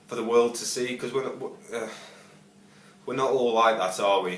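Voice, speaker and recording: Noticeable background noise and audible room echo fill the recording. Through them, a man's voice is heard. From northern England, Stoke-on-Trent. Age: 20s. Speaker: job applicant, bar and front of house worker. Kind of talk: video job application. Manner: halting, many fillers and repetitions.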